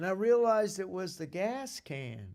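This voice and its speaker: A man's lively intonation on a very clean recording with a silent background. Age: 60s. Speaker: comedic storyteller playing a minister. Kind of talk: comedic monologue. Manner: halting.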